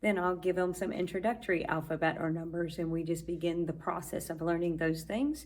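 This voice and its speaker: A woman talks at a fairly quick pace with audible room echo. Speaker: Spanish teacher. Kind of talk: vlog tutorial. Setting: classroom.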